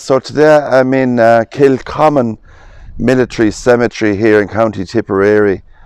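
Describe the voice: A man speaks at a moderate pace with fairly even intonation. His tone is clear, smooth and slightly mellow. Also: medium pitch for a man.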